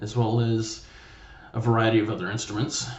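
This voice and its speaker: Audible room echo and a moderate pace. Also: man. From US South, small-town Mississippi. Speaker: vlogger. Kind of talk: casual monologue. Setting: home studio room with curtains. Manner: loud; rambling, casual.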